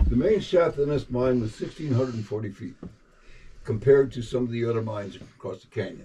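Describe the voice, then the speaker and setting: Somewhat breathy and dark, mellow in tone, a man speaks at a moderate pace over noticeable background noise. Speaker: mine tour guide. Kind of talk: guided tour explanation. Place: tunnel cave. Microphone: camera far.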